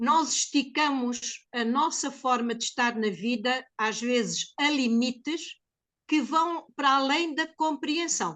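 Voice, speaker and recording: Very slow speech carries a bright, sharp tone and ordinary pitch variation. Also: woman, high pitch for a woman. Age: 70s. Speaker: geriatric care practitioner. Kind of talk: testimony. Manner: emotional.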